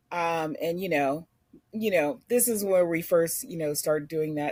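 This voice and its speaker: A woman speaks in a fairly low pitch. She has a Philadelphia accent. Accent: Philadelphia urban. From US, North Philadelphia. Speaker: podcast guest. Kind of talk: casual chat. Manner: animated.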